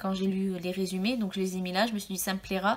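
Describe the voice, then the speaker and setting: On a very clean recording with a silent background, a woman of medium pitch talks at a fairly quick pace. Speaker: book YouTuber. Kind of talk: casual video monologue. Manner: hesitant, many fillers.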